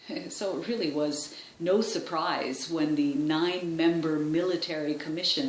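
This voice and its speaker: A woman's fairly low voice with ordinary pitch variation at a moderate pace, over noticeable background noise. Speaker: voice actor. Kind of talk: documentary-style historian narration, explanatory.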